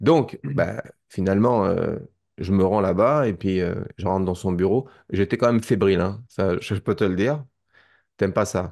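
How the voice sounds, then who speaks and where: A man's fairly low voice, fairly slow and full of long, frequent pauses, with ordinary pitch variation and a quiet background. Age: 50s. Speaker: documentary maker and witness; witness. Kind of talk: testimony. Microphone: video call.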